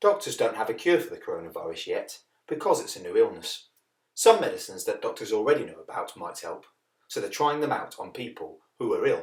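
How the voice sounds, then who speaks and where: A man's voice at a fairly quick pace, with big swings in loudness. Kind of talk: children's story reading. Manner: clear, friendly.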